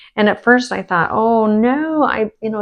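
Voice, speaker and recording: Against a quiet background, a woman talks at a moderate pace in a normal speaking voice with ordinary pitch variation. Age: 60s. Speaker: skin care and wellness vlogger. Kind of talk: casual chat.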